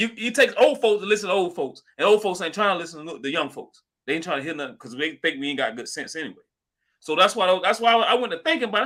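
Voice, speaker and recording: A man's raised, projected voice, animated and bright with a sharp tone, at a very fast pace on a very clean recording with a silent background. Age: young. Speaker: crypto livestream host. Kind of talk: live stream discussion. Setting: live stream.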